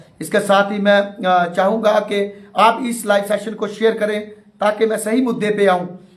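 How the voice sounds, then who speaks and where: Monotone and flat, a man speaks at a fairly slow pace in a high pitch. Noticeable background noise runs behind him. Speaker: teacher union activist. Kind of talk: live stream address. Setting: live online session. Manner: halting, many fillers.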